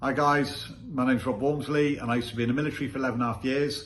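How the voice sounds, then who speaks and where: A man speaks in a somewhat breathy voice. Audible room echo surrounds it. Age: 50s. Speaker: business testimonial giver, ex-military. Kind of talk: testimony.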